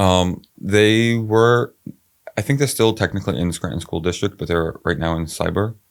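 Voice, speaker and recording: A man with a fairly low pitch mumbles at a moderate pace with ordinary pitch variation. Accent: New York. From Brooklyn, New York. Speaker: city council candidate. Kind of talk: casual interview. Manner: slight mumble; halting, many fillers.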